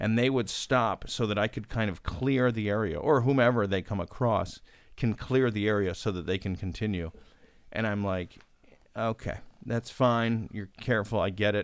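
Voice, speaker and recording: The recording is very clean, with a silent background. A man with a normal speaking voice talks at a moderate pace and fairly low pitch with ordinary pitch variation. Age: 40s. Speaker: podcast guest. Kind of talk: casual chat.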